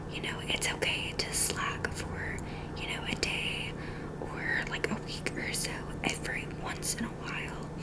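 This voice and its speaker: A woman whispers at a fairly slow pace. Noticeable background noise runs underneath. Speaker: ASMR creator. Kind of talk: ASMR roleplay, job interviewer asking questions. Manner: whispered, soft.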